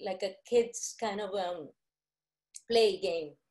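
A woman speaks in a dark, mellow tone with ordinary pitch variation. The background is quiet. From Colombia. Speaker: visual artist. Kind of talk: illustrated talk. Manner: halting. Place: home room. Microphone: video call.

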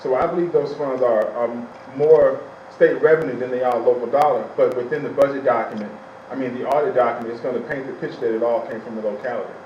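A man talks at a very fast pace. Noticeable background noise and audible room echo surround his voice. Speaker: school superintendent. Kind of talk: public meeting presentation. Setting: town council meeting.

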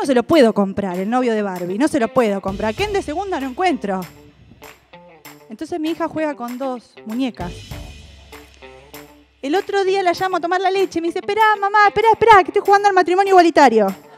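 Over faint music in the background, a woman with an Argentine accent talks at a very fast pace in a high pitch, with long, frequent pauses. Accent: Argentine Rioplatense. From Buenos Aires, Argentina. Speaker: stand-up comedian. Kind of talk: stand-up comedy monologue. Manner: lively, punchy comic delivery. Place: stage. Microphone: handheld.

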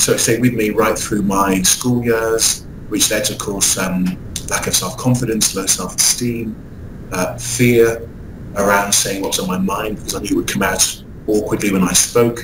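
Fairly deep male speech against noticeable background noise. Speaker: motivational speaker and author. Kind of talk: interview. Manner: upbeat, enthusiastic.

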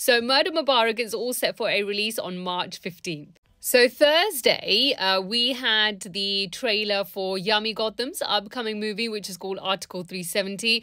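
A woman with a fairly high pitch speaks in a bright, sharp, upbeat tone and ordinary pitch variation. Her moderate pace has hardly any pauses, against a quiet background. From UK. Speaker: radio presenter. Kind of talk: Bollywood news update to camera. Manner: chatty, upbeat. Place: home room. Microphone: phone near.

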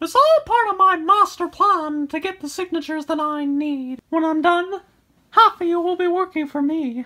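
Using a put-on character voice at an extremely high pitch, the speaker goes at a moderate pace. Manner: menacing, smug.

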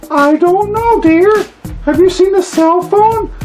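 Faint music plays behind a female-sounding, cartoonish character voice with an extremely high pitch for a woman. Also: fairly slow pace. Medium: puppet.

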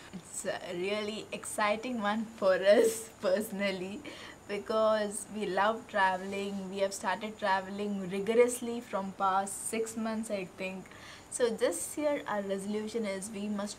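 At a fairly slow pace, a woman speaks in a somewhat breathy voice with fairly even intonation over light background noise. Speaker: travel vlogger. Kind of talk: casual vlog chat. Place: garden. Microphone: phone near.

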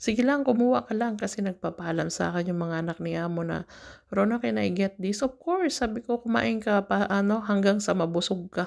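A woman with a plain, everyday voice speaks at a fairly quick pace in a medium pitch with lively intonation, in a very clean recording with a silent background. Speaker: domestic worker vlogger. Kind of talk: cooking vlog. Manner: casual, chatty.

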